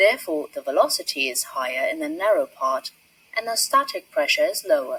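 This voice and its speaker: A woman with a British accent at a moderate pace, the sound dry and close with no echo. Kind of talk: educational science narration.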